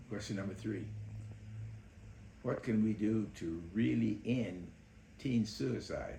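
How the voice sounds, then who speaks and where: A man with a fairly low pitch and a dark, mellow tone speaks at a very slow pace with long, frequent pauses. Vocal fry and ordinary pitch variation come through, along with audible room echo. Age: 80s+. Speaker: mental health educator. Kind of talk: interview answers. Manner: halting.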